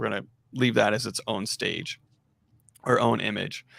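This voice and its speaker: A man at a moderate pace, dry and close with no echo. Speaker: software engineer demoing containers. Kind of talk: live coding tutorial chat.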